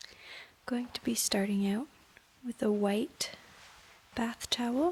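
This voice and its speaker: very slow, soft-spoken whispering. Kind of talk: ASMR towel-folding demonstration, soft-spoken talk to camera.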